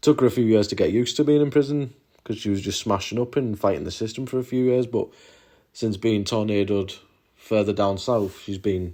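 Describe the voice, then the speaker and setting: Delivered at a fairly quick pace in a northeast England accent, the voice has a dark, mellow tone and ordinary pitch variation. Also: man, medium pitch for a man, very clean recording, silent background. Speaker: YouTuber, former prison volunteer. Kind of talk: casual vlog monologue. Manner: hesitant, many fillers and repetitions.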